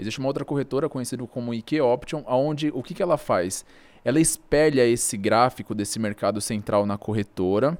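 A man with an unremarkable speaking voice at a medium pitch talks at a fairly quick pace with lively intonation, on a very clean recording with a silent background. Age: 20s. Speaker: day trader. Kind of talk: casual interview.

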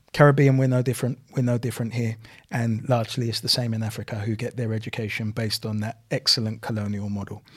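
A man talks very fast at a medium pitch in a monotone, flat delivery, somewhat breathy, on a very clean recording with a silent background. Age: 40s. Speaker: community advocate and businessman. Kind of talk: podcast interview.

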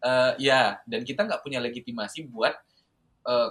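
A man talks at a moderate pace in a fairly high voice. His intonation is lively. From Indonesia, Southeast Sulawesi. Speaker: university student and student organizer. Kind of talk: casual interview.

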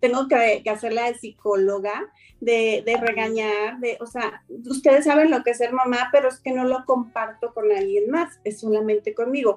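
Her voice is an unremarkable speaking voice, fairly high in pitch with ordinary pitch variation. The woman keeps a moderate pace. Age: 50s. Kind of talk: interview.

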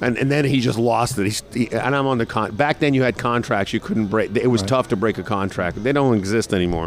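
Over noticeable background noise, a man with an American accent and a medium pitch speaks at a fairly quick pace. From New York. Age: 50s. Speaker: radio morning show host. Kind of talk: interview. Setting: restaurant and sports bar.

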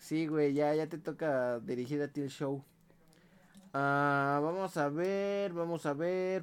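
A man with a Mexican accent, at a very slow pace. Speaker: podcast co-host. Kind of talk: casual chat.

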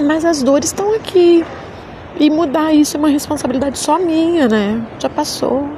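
Against noticeable background noise, a woman speaks at a high pitch with ordinary pitch variation. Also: moderate pace. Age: 40s. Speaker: podcaster. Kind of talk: personal monologue. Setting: rooftop terrace outdoors.

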